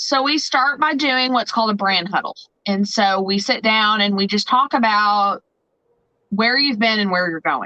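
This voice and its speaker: With an American accent, a woman speaks at a fairly high pitch in a bright, sharp tone and very even loudness. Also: lively intonation, moderate pace. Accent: twang. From Southern Indiana. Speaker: photographer and branding consultant. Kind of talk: podcast interview.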